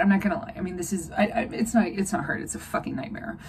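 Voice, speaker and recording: A woman's medium pitch with ordinary pitch variation. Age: 40s. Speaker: animal rescue director. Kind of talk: personal vlog monologue. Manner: halting, many fillers.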